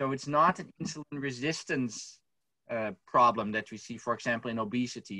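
A man talks at a moderate pace in a bright, sharp tone. The background is quiet and the sound is dry with no echo. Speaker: researcher panelist; panelist. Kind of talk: academic panel discussion. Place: home room. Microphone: webcam.

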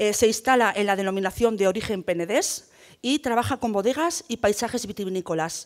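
A woman talks at a moderate pace in an ordinary speaking voice, fairly high in pitch with lively intonation, against a quiet background. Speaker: debate moderator, rural development manager; panel moderator. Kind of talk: panel discussion moderation. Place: hall. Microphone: handheld.

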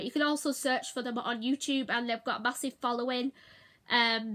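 Against a quiet background, a woman uses a raised, projected voice with a bright, sharp tone. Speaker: vlogger. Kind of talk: casual vlog chat. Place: home room. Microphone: phone near.

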